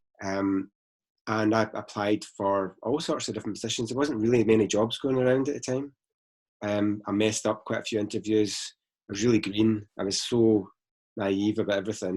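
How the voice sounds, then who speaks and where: In a Glaswegian accent, a man talks fairly quickly at a fairly low pitch with fairly even intonation, on a very clean recording with a silent background. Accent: Glaswegian Scottish. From Scotland, Glasgow. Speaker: space company founder. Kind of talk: interview.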